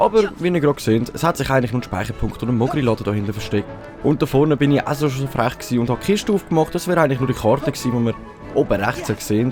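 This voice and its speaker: With a Swiss German accent, a man talks at a very fast pace in a medium pitch with lively intonation while music plays in the background. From Switzerland. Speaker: let's play gamer. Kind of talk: casual gameplay commentary.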